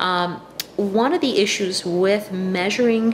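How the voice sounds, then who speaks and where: A woman talks with ordinary pitch variation. There is light background noise. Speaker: health educator. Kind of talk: informal health talk. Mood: calm, explanatory. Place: kitchen. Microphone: webcam.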